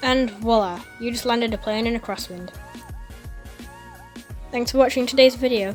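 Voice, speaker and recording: A woman with a fairly high pitch speaks at a moderate pace with fairly even intonation. Long, frequent pauses break up her speech, and music plays in the background. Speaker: flight simulator video creator. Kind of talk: tutorial voice-over. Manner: casual, friendly.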